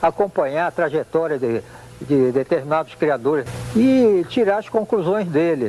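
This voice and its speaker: Pitch swings very widely as the speech moves along at a moderate pace. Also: man, fairly high pitch for a man. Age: 70s. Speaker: gamecock breeder. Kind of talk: interview. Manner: halting, with fillers.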